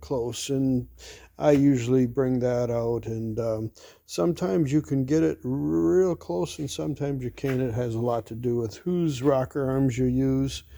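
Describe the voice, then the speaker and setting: A man's dark, mellow tone at a medium pitch, with lively intonation. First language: not English. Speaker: engine builder. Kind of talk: workshop tutorial. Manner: casual, with frequent fillers.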